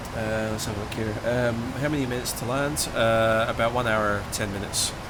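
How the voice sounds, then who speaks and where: Amid noticeable background noise and audible room echo, a man speaks at a fairly quick pace. His pitch is medium and his intonation monotone and flat. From Scottish Highlands. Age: 20s. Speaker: flight simulator streamer. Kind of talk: live stream chat. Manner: hesitant, many fillers. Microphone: poor stream quality.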